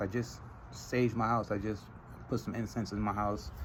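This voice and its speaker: This man's voice is somewhat breathy. His pitch is fairly low. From Trinidad and Tobago. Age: 30s. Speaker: vlogger. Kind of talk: casual monologue vlog. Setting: outdoors in front of his house.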